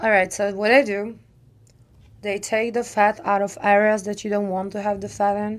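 A woman speaks with a Czech accent in a monotone, flat intonation. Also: medium pitch for a woman, moderate pace. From Czech Republic.

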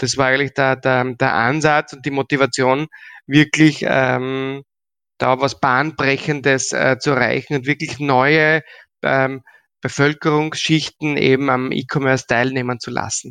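Against a quiet background, a man at medium pitch talks fairly slowly in a flat monotone, his tone bright and sharp and the sound dry and close with no echo. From Austria, Graz. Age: 40s. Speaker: payment entrepreneur and business angel. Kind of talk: interview. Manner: halting, many fillers and repetitions.

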